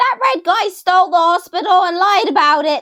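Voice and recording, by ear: A woman puts on a squeaky character voice at an extremely high pitch and a moderate pace.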